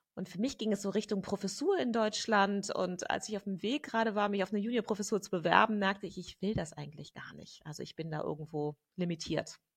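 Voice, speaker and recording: A somewhat breathy woman of medium pitch at a fairly quick pace. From Germany. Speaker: gender researcher and activist. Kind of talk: interview conversation.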